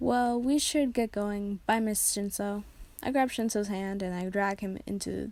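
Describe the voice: Reading aloud in a plain way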